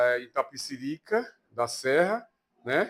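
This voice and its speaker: A man speaks at a very slow pace. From Bahia, Brazil (Itabuna, south Bahia). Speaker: Candomblé priest. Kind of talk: interview testimony. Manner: halting.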